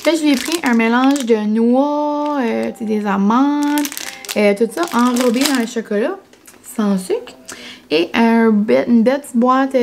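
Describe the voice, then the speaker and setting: A woman with a New Brunswick accent speaks at a fairly slow pace and a fairly high pitch. Her pitch variation is ordinary, and there is noticeable background noise. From New Brunswick, Canada (Acadian French). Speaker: vlogger. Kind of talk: casual vlog talk to camera. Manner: chatty, many fillers (euh).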